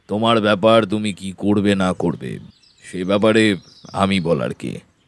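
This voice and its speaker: A booming, fairly low put-on character voice from a man at a moderate pace. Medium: audio drama. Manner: curt, irritable.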